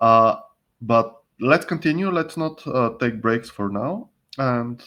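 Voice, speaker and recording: A man talks in an ordinary speaking voice with ordinary pitch variation over a quiet background. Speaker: online training presenter. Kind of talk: online presentation.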